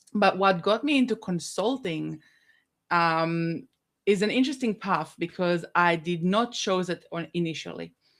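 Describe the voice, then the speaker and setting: On a very clean recording with a silent background, a woman speaks fairly slowly at a medium pitch. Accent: Israeli. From Israel. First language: Hebrew. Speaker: business consultant. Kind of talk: podcast interview. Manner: hesitant, many fillers.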